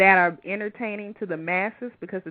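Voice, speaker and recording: A woman is talking. Her accent is American. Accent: Southern accent, noticeable despite fading. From US South, Louisiana (Baton Rouge). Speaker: radio show host. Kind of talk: casual interview chat. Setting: live internet radio show. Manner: toned down professional radio voice.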